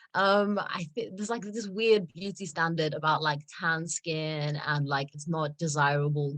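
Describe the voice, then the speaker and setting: Against a quiet background, a woman with a British accent speaks fairly slowly at a fairly low pitch. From South Africa. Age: 20s. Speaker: model. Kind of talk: interview answer. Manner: casual, many fillers.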